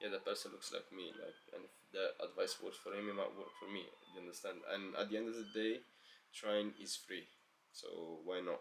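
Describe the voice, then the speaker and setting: A moderate pace with a non-native accent. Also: man. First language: not English. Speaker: self-help vlogger. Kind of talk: motivational monologue. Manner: casual, filler-heavy.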